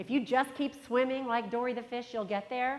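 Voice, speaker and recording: Here is a woman with a fairly high pitch. She speaks at a moderate pace. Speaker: conference speaker. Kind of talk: motivational talk. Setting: stage with audience. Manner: energetic.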